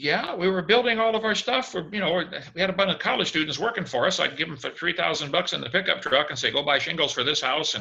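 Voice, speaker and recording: A man with an American accent talks at a very fast pace, his bright, sharp tone set at a fairly high pitch. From US Midwest, Illinois. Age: 60s. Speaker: creationist evangelist. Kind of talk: interview. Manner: animated.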